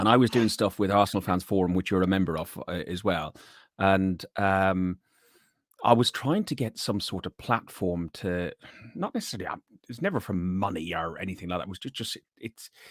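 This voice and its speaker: A man with an Irish accent, very deep and low-pitched, with ordinary pitch variation and a fairly quick pace, in a dry, close sound with no echo and a very clean recording against a silent background. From Ireland, Athlone (midlands). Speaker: podcast host, sales worker. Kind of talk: casual chat.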